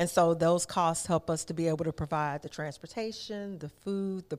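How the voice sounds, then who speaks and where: A woman with an American accent at a fairly quick pace, on a very clean recording with a silent background. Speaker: youth nonprofit executive director. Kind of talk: interview. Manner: animated.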